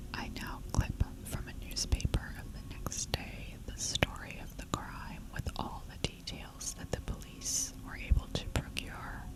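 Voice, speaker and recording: Someone whispers with hardly any pauses. Noticeable background noise is there throughout. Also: fairly slow pace. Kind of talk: ASMR horror story reading. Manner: whispered.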